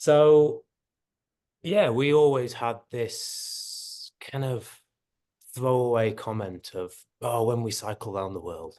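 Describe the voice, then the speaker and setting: A man with an English accent talks at a very slow pace, leaving long, frequent pauses. His medium pitch moves with lively intonation over a quiet background. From England. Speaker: long-distance cycle tourist. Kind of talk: casual chat. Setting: video call.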